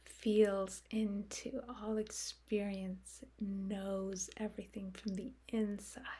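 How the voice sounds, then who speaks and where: The delivery is very slow, calm and somewhat breathy, with hardly any pauses. Intonation stays monotone and flat. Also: woman, medium pitch for a woman. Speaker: meditation guide. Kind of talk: guided meditation. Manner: slow, calm, with long pauses.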